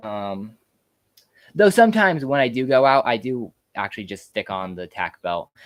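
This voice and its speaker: Recorded very cleanly with a silent background and a dry, close sound with no echo, a man speaks with lively intonation in an American accent. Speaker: YouTuber, farmer. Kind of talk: live stream Q&A, casual chat. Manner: fast; hesitant, many fillers.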